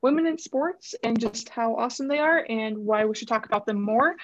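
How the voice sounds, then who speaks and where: Against a quiet background, a woman speaks in a normal speaking voice with a fairly high pitch and lively intonation. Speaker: podcast co-host. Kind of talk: casual interview.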